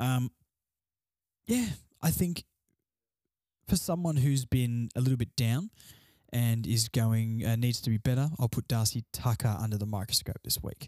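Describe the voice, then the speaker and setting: A man with an Australian accent, a dark, mellow tone, ordinary pitch variation, a moderate pace, and long, frequent pauses in a dry, close sound with no echo. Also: medium pitch for a man. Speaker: solo sports podcast host. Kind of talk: casual solo commentary. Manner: quieter than usual.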